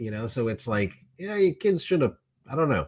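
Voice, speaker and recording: A man speaks with an American accent. His somewhat breathy voice makes very wide pitch swings. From Miami, Florida. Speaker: podcast co-host. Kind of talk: casual chat.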